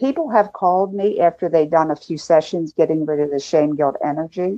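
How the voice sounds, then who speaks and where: A woman's dark, mellow voice at a moderate pace, dry and close with no echo. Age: 70s. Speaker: filmmaker and healing lecturer. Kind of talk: interview. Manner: animated.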